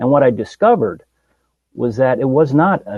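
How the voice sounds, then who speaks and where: Lively intonation with a somewhat breathy quality. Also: man. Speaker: spiritual healing speaker. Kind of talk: interview. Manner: halting.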